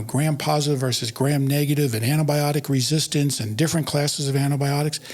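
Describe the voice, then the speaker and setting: Somewhat breathy and with an American accent, the speech runs at a very fast pace with hardly any pauses. The intonation stays fairly even. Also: man. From US Northeast, Philadelphia. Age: 60s. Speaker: podiatric physician and educator. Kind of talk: podcast interview.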